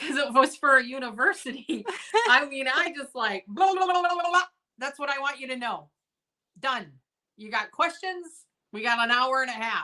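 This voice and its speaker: Her raised, projected voice is high-pitched with a bright, sharp tone, and the woman uses lively intonation and big swings in loudness at a moderate pace with long, frequent pauses. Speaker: vintage seller, live sale host. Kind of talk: casual chat.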